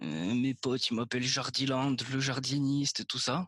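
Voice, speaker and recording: A medium-pitched man at a very slow pace, in a dry, close sound with no echo. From Corsica. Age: 20s. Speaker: film student telling his story. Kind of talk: personal storytelling monologue. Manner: casual, joking.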